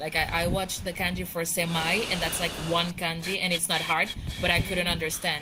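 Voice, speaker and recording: A woman with a non-native accent speaks at a fairly quick pace in a fairly low voice, her intonation monotone and flat, with audible room echo and noticeable background noise. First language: not English. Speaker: VR chat participant. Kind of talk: casual chat.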